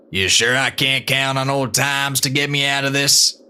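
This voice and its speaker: Using a put-on character voice, a man speaks at a moderate pace and a medium pitch, with monotone, flat intonation and very even loudness. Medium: audio drama. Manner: dry, laconic, drawling.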